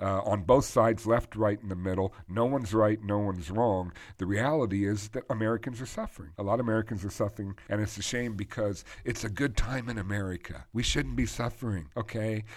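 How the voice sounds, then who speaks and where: Speaking at a fairly quick pace with hardly any pauses, a man has a normal speaking voice, a fairly low pitch and ordinary pitch variation, captured in a very clean recording with a silent background. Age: 50s. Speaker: financial advisor and podcast host. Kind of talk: solo podcast commentary. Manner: conversational with frequent fillers.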